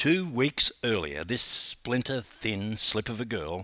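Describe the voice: The plain reading aloud carries lively intonation.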